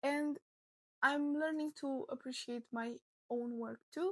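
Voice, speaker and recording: A woman's fairly slow speech with a non-native accent and ordinary pitch variation, in a dry, close sound with no echo. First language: not English. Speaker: crochet content creator. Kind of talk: personal vlog monologue.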